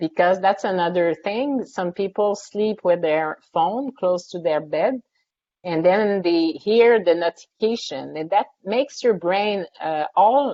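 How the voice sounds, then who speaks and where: Ordinary pitch variation at a fairly slow pace. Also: woman, medium pitch for a woman. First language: French. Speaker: sleep scientist and psychology professor. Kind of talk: webinar Q&A answers.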